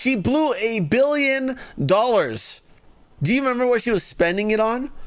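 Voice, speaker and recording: Over noticeable background noise, a man with an American accent talks at a moderate pace, his pitch swinging very widely. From Los Angeles, US. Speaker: political commentary streamer. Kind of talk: live commentary. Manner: sarcastic, mocking.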